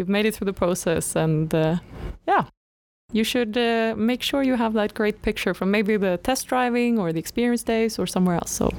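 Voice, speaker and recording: A woman speaks at a moderate pace in a fairly high voice with ordinary pitch variation. Her loudness is very even, on a very clean recording with a silent background. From northern Sweden. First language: Swedish. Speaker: graduate trainee podcast co-host. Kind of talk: casual chat.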